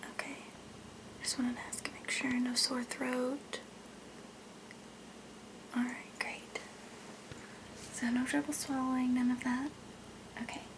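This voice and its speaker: A woman is whispering at a fairly slow pace, with long, frequent pauses. There is noticeable background noise. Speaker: ASMR role-play creator playing a doctor. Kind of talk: ASMR role play. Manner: whispered, soft-spoken.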